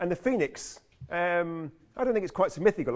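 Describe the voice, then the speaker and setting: Speaking very fast in a British accent, a man uses lively intonation. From UK. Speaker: climate scientist. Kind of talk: lecture. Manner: halting, with fillers and repeats.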